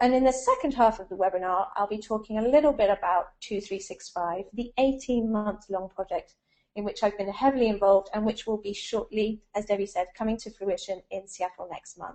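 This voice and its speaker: A woman at a moderate pace, ordinary pitch variation, big swings in loudness, hardly any pauses, quiet background. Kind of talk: lecture. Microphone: video call.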